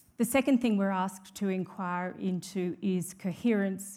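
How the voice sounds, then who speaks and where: In an Australian accent, a woman speaks at a medium pitch and a moderate pace. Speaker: judge and law reform commission president. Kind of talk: conference keynote speech. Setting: stage with audience. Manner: formal.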